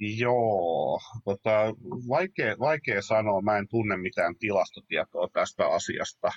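The speaker is a man at a very slow pace. His loudness stays very even. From Finland, Padasjoki. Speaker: writer and publisher. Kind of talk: casual chat. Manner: halting, with fillers and repetitions.

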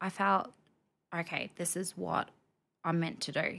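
A woman with an Australian accent, in a very clean recording over a silent background. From Rockhampton, Queensland, Australia. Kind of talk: podcast interview. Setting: studio.

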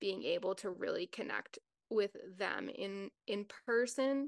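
A woman speaks in a normal speaking voice at a fairly slow pace, with a fairly high pitch and ordinary pitch variation. The quiet background and dry, close sound with no echo leave her voice on its own. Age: 30s. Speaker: nutritionist and recovery coach. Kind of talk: interview.

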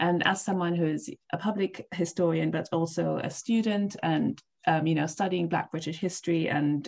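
The voice has vocal fry and moves at a fairly quick pace. The background is quiet. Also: woman. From East Africa. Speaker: podcast host, PhD candidate. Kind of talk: interview.

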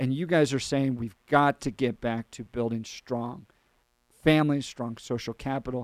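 With an ordinary speaking voice, a man speaks at medium pitch and moderate pace with fairly even intonation, the sound dry and close with no echo and the recording very clean against a silent background. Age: 40s. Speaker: radio host. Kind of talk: radio talk show interview.

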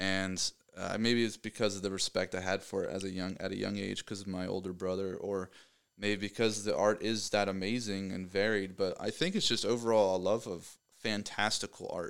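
Recorded very cleanly against a silent background, a man talks at a moderate pace in a fairly low pitch with monotone, flat intonation. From Pennsylvania, US. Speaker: mechanical design engineer and artist. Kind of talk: casual chat. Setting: office.

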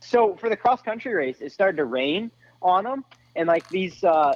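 Very wide pitch swings from a man speaking at a moderate pace. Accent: American. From Florida. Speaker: off-road racer. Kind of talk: casual chat.

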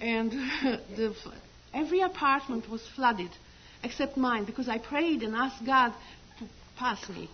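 A woman with a high pitch speaks at a fairly slow pace with ordinary pitch variation and long, frequent pauses, over noticeable background noise. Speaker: church member giving testimony. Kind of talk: testimony. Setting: church. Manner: halting.

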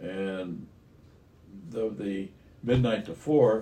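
There is audible room echo as a man with an American accent speaks in a dark, mellow tone with ordinary pitch variation. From US Midwest, Iowa. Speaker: grandfather, retiree. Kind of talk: casual chat.

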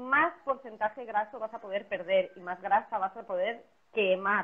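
Noticeable background noise accompanies speech at a moderate pace with ordinary pitch variation. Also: woman. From Spain. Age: 30s. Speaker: personal trainer. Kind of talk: casual interview on a livestream. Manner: animated.

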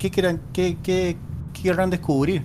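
An audible room echo follows a man as he speaks. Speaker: podcast co-host. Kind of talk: casual chat.

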